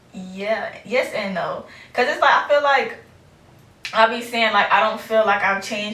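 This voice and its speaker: A woman talks at a moderate speed, with audible room echo and noticeable background noise around her. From US South, Fort Pierce, Florida. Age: 20s. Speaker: podcast host. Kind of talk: casual interview. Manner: casual, filler-heavy.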